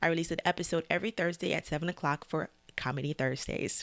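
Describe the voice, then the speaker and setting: A woman at a fairly low pitch and a very fast pace, in a very clean recording with a silent background and a dry, close sound with no echo. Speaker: music reaction video host. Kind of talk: casual reaction commentary. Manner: stammers when flustered or excited; casual, hesitant with fillers.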